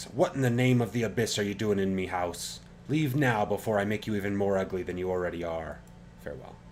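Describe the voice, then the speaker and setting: A man booms loudly in a put-on character voice at a fairly low pitch. He races at a very fast pace over clear background noise. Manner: threatening.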